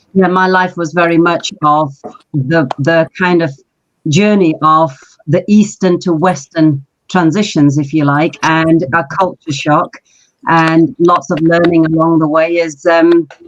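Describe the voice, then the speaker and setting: A woman with a London accent talks at a fairly slow pace in a fairly low pitch. Her intonation is fairly even and her loudness very even. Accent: British English, London. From Pakistan, raised in London from age six. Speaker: marketing director, business founder. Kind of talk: podcast interview, life story.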